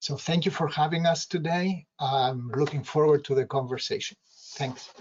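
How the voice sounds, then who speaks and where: In an American accent, a man with an unremarkable speaking voice talks at a moderate pace, his fairly high pitch carried on fairly even intonation. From outside the US. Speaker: local political candidate. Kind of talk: campaign speech.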